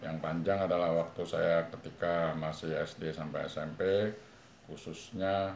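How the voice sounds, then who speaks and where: A man with a very deep, low pitch and monotone, flat intonation at a fairly slow pace, with noticeable background noise and audible room echo. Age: 60s. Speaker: father interviewed for a school assignment. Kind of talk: interview. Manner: formal; halting.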